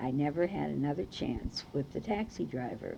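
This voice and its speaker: A woman speaks with a very deep, low pitch and an American accent. Her tone is dark and mellow, with vocal fry. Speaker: oral history narrator. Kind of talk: oral history recollection.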